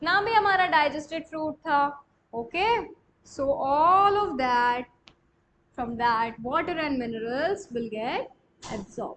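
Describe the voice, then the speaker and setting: A woman speaks at a very slow pace with long, frequent pauses. Her high voice makes very wide pitch swings. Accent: Marathi. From India. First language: Marathi. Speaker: online coaching teacher. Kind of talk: live online class. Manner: repetitive, explanatory.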